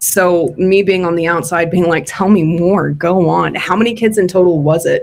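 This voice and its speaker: An American-accented woman speaks in an ordinary speaking voice, fairly low in pitch, at a moderate pace with fairly even intonation. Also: hardly any pauses. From West Texas / New Mexico. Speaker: podcast co-host. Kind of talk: casual chat.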